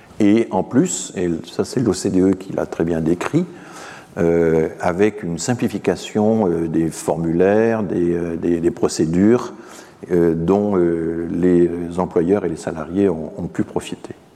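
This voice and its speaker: A man's very deep, low voice at a very slow pace, fairly even in intonation, over noticeable background noise. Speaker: professor. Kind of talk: lecture. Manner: halting.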